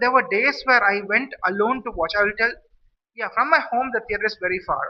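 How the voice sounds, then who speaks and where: In an Indian accent, a man talks at an extremely high pitch. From India, Madurai, Tamil Nadu. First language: Saurashtra. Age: 40s. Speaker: vlogger. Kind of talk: casual monologue. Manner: halting, many restarts.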